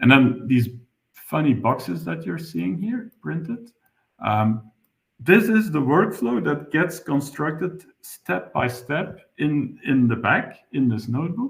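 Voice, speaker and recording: The speech comes at a very slow pace, with very wide pitch swings. Vocal fry runs through it. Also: man, fairly high pitch for a man. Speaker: webinar presenter, software developer. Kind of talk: technical tutorial webinar. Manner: halting, many fillers.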